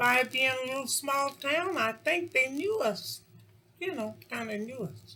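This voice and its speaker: A woman with an American accent projects a raised voice at a high pitch, with lively intonation, big swings in loudness and a fairly slow pace. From Kentucky, US South. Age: 80s+. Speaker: interviewee. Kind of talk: casual chat.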